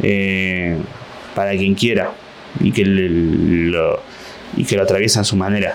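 A man's fairly slow speech is accompanied by noticeable background noise. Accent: Rioplatense. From Buenos Aires, Argentina. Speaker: stand-up comedian. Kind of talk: comedic solo monologue.

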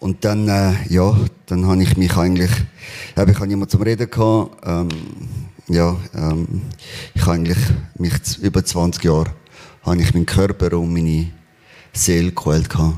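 With long, frequent pauses, a man talks at a very deep, low pitch in a dark, mellow tone and fairly even intonation. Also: moderate pace. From Spain. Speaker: church member sharing testimony. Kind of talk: testimony. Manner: halting.

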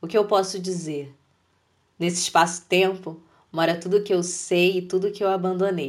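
A woman speaks with long, frequent pauses. Her intonation stays monotone and flat. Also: medium pitch for a woman, moderate pace. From Brazil, Rio de Janeiro state (São Gonçalo). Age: 30s. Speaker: poet. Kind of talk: poetry reading.

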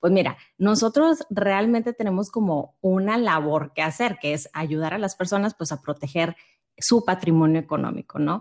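Recorded very cleanly over a silent background, a woman speaks at a medium pitch and a fairly slow pace with lively intonation. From Monterrey, Mexico. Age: 30s. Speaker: insurance advisor. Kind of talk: interview.

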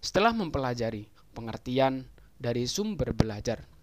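At a fairly slow pace, a man talks in a normal speaking voice with a medium pitch. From East Java, Indonesia (Jombang). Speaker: university student. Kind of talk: scripted educational explainer. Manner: formal.

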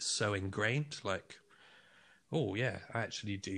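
A man with a fairly low pitch and a bright, sharp tone is heard on a very clean recording with a silent background. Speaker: film director and podcaster. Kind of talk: casual chat.

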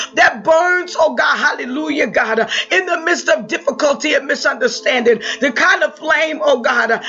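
With noticeable background noise, a man speaks at an extremely high pitch with lively intonation. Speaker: prayer leader. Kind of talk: fervent prayer. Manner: fervent, repetitive, rising with emotion, charged with praise and hallelujahs; urgent, exhorting, preacher-like.

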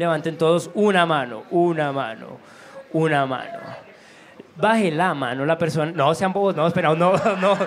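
Amid audible room echo and noticeable background noise, a man speaks at a high pitch and fairly slow pace with ordinary pitch variation. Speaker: comedian. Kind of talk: stand-up warm-up. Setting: stage with audience. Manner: animated.

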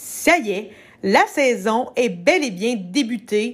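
In a Quebec accent, a woman speaks at a high pitch on a very clean recording with a silent background. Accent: Québécois French. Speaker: TV recap podcaster. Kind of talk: casual solo recap. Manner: animated.

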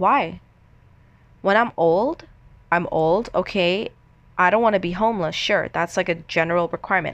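Against a quiet background, a woman with a medium pitch speaks in an animated tone. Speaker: podcast host. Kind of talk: casual monologue.

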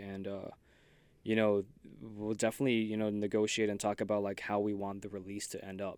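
On a very clean recording with a silent background, the speech comes at a very fast pace. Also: man. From Saipan, Northern Mariana Islands. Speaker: streetwear designer. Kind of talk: casual chat.

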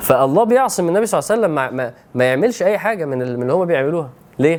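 A man in an Egyptian accent, very fast, animated in tone, with very wide pitch swings. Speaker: Islamic preacher. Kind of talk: religious lecture.

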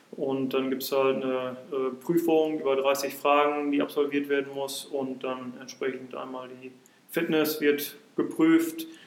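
A man speaks in a flat monotone at a fairly high pitch. His pace is fairly slow, and room echo is audible. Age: 30s. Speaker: football referee. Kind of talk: casual chat. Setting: in a pavilion at the club grounds.

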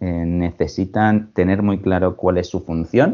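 This man's pitch is very deep and low. He speaks at a fairly slow pace. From Spain, Alicante. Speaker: human resources director. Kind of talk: interview. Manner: halting.

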